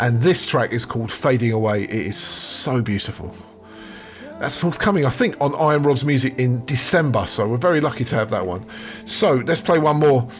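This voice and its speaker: Upbeat and enthusiastic, a man at a medium pitch speaks with lively intonation at a moderate pace over music in the background. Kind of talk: radio DJ patter introducing tracks. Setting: radio show studio. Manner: upbeat, enthusiastic, fluent and chatty, British-style hype; warm, friendly, gushing over tracks.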